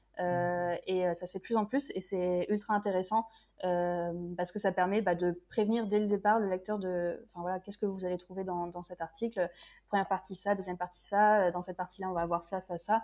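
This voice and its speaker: A woman speaks at a medium pitch with a dark, mellow tone and monotone, flat intonation. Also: fairly quick pace. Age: 20s. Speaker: freelance web writer. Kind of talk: casual interview. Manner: hesitant, many filler sounds.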